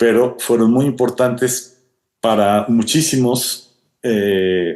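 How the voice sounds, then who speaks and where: At a fairly slow pace, a man speaks in a dark, mellow tone with ordinary pitch variation. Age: 60s. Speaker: wildlife biologist and professor. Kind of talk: interview answers, storytelling. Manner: hesitant with fillers.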